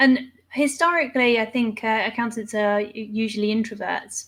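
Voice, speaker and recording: A woman talks at a fairly high pitch. The recording is very clean with a silent background. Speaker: podcast host. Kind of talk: interview. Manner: loud.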